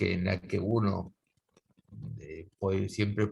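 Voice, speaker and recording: Using a very deep, low pitch with vocal fry, a man speaks at a fairly slow pace. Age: 60s. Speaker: guitar teacher. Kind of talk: casual interview conversation. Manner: halting, many fillers.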